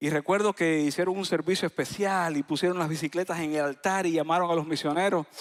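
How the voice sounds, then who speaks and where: Very fast speech in a Cuban accent, fairly even intonation and very even loudness, dry and close with no echo, on a very clean recording with a silent background. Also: man, high pitch for a man. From Cuba, Isla de la Juventud. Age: 40s. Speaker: pastor. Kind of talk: sermon. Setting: church.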